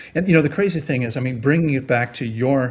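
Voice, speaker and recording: A man speaks in a somewhat breathy voice. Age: 60s. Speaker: therapeutic fasting expert. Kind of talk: interview. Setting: podcast.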